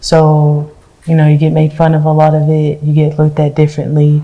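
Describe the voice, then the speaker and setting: This woman has a very deep, low pitch and a dark, mellow tone that is somewhat breathy. She talks at a moderate pace. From Alabama, Hartselle. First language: Spanish. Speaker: university student. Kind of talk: panel interview.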